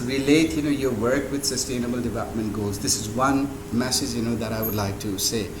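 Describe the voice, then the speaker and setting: A fairly quick pace amid noticeable background noise and audible room echo. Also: man. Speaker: invited speaker, hydrosystems engineer. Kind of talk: speech to an audience. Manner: halting, many fillers.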